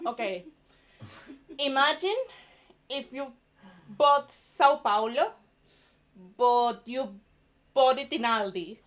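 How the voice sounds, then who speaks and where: Speaking at a very slow pace with long, frequent pauses, a woman with a Venezuelan accent uses a high pitch, lively intonation and big swings in loudness. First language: Spanish. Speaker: stand-up comedian. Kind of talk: stand-up. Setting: stage with audience.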